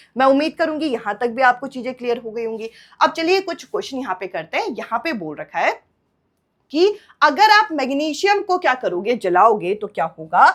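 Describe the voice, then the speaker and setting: A woman's high voice moves through very wide pitch swings. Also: moderate pace. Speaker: online exam-prep teacher. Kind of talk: lecture. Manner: bilingual Hindi-English explanation.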